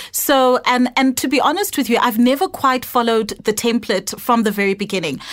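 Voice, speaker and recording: A woman's high-pitched voice with lively intonation, very even loudness and a fairly quick pace, over noticeable background noise. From international upbringing, Ghanaian and South African parents. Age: young. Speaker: retail entrepreneur. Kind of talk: interview.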